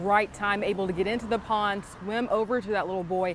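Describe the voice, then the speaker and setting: A woman with an American accent at medium pitch, fairly quick and fairly even in intonation, with noticeable background noise. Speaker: TV news reporter and anchor. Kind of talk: TV news report and anchor read.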